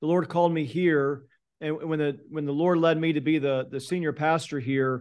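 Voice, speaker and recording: In an ordinary speaking voice, a man talks at a moderate pace. His pitch is fairly high and his intonation fairly even. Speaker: pastor. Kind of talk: interview.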